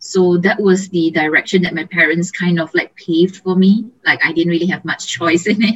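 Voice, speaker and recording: Intonation stays fairly even at a moderate pace. The voice is somewhat breathy. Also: woman, medium pitch for a woman, hardly any pauses. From Malaysia. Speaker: image consultant. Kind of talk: interview.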